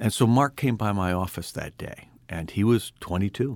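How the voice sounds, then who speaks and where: This man has an ordinary speaking voice, fairly low in pitch, with lively intonation at a moderate pace. The recording is very clean, with a silent background. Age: 60s. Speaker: tech investor and author. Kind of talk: interview conversation.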